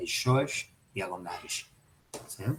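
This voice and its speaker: Here a man speaks with a medium pitch. His pace is very slow. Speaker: psychoanalysis teacher. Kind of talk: lecture.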